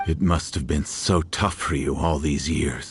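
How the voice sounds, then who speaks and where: A man growls in a put-on character voice with a very deep, low pitch. He keeps a moderate pace, fairly even intonation and very even loudness. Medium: video game. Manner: soft, regretful.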